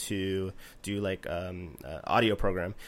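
A man with a Canadian accent has an unremarkable speaking voice and fairly even intonation. The recording is very clean, with a silent background. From East Coast of Canada. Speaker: music producer and composer. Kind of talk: casual interview.

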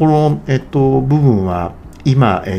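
A man speaks at a moderate pace, his pitch swinging very widely. Noticeable background noise runs behind him. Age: 50s. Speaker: podcaster. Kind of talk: solo monologue podcast. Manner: halting with many fillers.

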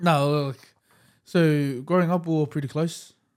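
Fairly high pitch marks this man's voice with an Australian accent. His intonation is fairly even. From Western Sydney, Australia. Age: 20s. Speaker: rapper. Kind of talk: casual chat.

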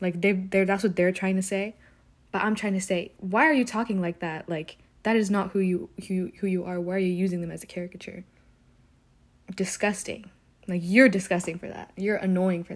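A woman with a medium-pitched voice talks at a fairly quick pace. Her loudness swings widely. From US South (Alabama), Ethiopian parents. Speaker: solo podcaster. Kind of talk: casual monologue. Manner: fast, rambling talker; animated, expressive.

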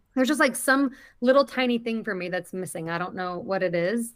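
Lively intonation marks an ordinary speaking voice delivered at a moderate pace. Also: woman. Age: 30s. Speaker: movie podcast co-host. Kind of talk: casual chat. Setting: video call.

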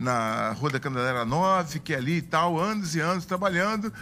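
A man speaks with a bright, sharp tone and fairly high pitch. His intonation is lively. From southern Bahia, Brazil. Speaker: city councillor and pastor. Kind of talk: casual interview.

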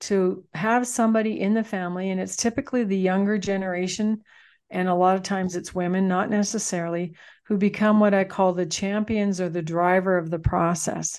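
A woman with a Canadian Prairie accent, medium pitch, fairly even intonation and moderate pace, over a quiet background. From Manitoba, Canada. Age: 60s. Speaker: farm transition consultant and author. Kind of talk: casual interview.

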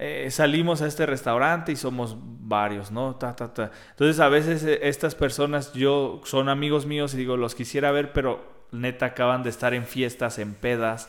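A man talks at a medium pitch and a moderate pace. His intonation is fairly even, with hardly any pauses. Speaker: podcast co-host. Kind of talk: casual chat.

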